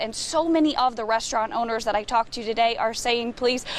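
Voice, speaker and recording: A woman with an American accent talks at a fairly quick pace in a high voice, with noticeable background noise behind her. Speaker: TV news reporter. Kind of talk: TV news reporter reel, live and packaged stand-ups.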